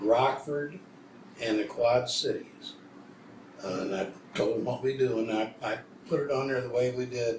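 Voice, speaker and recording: A medium-pitched man with an American accent, long and frequent pauses, noticeable background noise and audible room echo. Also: ordinary pitch variation, moderate pace. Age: old. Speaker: old-time country musician. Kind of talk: casual interview. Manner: halting.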